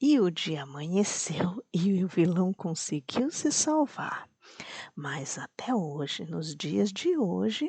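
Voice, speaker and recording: Someone is whispering at a very slow pace. The sound is dry and close, with no echo. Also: woman. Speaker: bedtime story narrator. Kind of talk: sleep story for children. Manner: slow, almost whispering.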